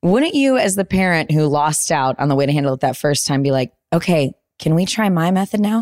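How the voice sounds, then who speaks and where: Speaking at a fairly quick pace, a woman has an unremarkable speaking voice, fairly low in pitch and very even in loudness, on a very clean recording with a silent background. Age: 30s. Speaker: podcast co-host, entertainment journalist. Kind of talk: casual chat. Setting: home office.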